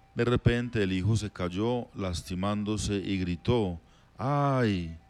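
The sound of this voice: This is an unforced reading voice. It carries ordinary pitch variation.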